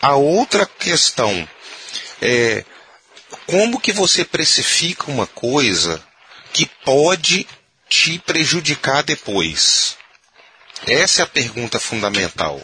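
A man talks at a very slow pace with long, frequent pauses and very even loudness. Noticeable background noise sits behind him. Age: 40s. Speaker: physician, organ procurement coordinator. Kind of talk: casual discussion. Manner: animated.

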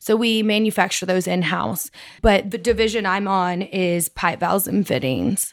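In a West Texas accent, a woman speaks with ordinary pitch variation. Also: medium pitch for a woman, moderate pace, very clean recording, silent background. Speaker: oilfield sales account manager. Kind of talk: interview. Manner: animated.

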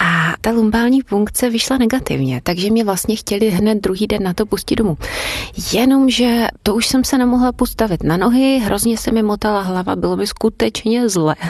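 Over noticeable background noise, a woman speaks at a moderate pace in a fairly high pitch, with ordinary pitch variation and very even loudness. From Brno, Moravia, Czechia. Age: 30s. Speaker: foreign language teacher. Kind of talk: personal testimony.

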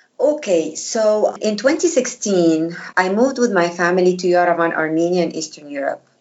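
Speaking at a moderate pace with hardly any pauses, a woman with an Arabic accent uses lively intonation at a medium pitch. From Egypt. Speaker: former diplomat and food blogger. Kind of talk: interview. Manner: halting, many fillers.

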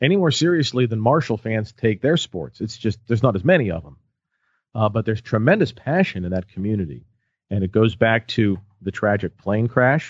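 Lively intonation at a moderate pace. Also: man. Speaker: college sports play-by-play broadcaster. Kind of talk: interview. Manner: natural, unaffected speaking voice.

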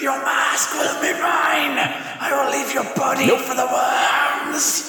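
Shouting in a high-pitched, put-on character voice at a very slow pace, the speaker is heard with a strong echo. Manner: menacing, shrieking.

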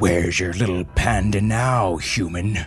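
Over clear background music, a put-on character voice growls. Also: man, very deep, low pitch for a man, moderate pace. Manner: snarling, menacing.

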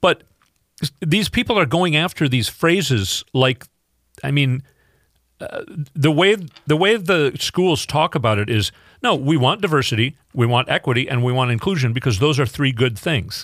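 Pausing often and at length, a man with an Upper Midwest accent speaks at a moderate pace in a fairly high voice with very wide pitch swings, recorded dry and close with no echo. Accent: Upper Midwest (Minnesota). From Minnesota. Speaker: fill-in radio host. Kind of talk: political talk radio monologue. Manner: halting, many fillers.

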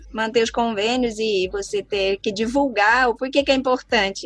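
There is noticeable background noise as a woman speaks with a fairly high pitch and ordinary pitch variation. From Brazil, Southeast interior. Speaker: biologist and researcher. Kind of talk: interview. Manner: halting.

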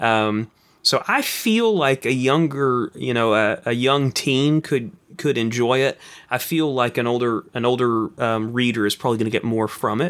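A man with an American accent speaks at a moderate pace in an ordinary speaking voice, his pitch medium and his intonation fairly even. His loudness stays very even, and the recording is very clean, with a silent background. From East Texas, Kilgore. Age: young. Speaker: filmmaker and author. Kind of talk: interview.

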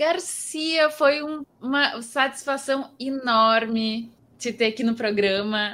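A woman speaks very slowly in a high voice with a bright, sharp tone. Her pitch varies in an ordinary way. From southern Brazil, Pelotas. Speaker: podcast host. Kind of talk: casual chat. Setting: video call.

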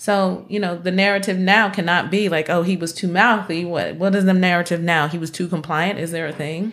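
In a very clean recording with a silent background, a woman with an unremarkable speaking voice talks at a fairly quick pace and a fairly low pitch, with fairly even intonation and hardly any pauses. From North Carolina. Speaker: licensed clinical social worker. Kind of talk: casual interview chat. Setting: studio.

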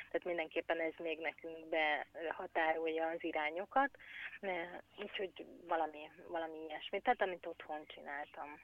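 Her pitch fairly low, a woman talks at a moderate pace with fairly even intonation. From Hungary. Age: 40s. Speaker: emigrant mother. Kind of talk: interview. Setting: phone call. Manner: halting, many repetitions.

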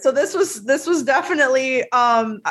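The tone is animated. The speaker has an American accent. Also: woman. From US South, Tennessee. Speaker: film journalist. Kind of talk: casual chat.

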